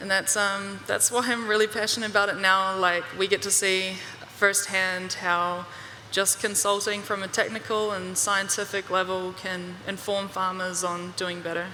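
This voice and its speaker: Against noticeable background noise, a woman with an American accent talks at a moderate pace and medium pitch in a monotone, flat intonation. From New Zealand, Bay of Plenty. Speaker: research assistant and consultant. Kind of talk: panel interview.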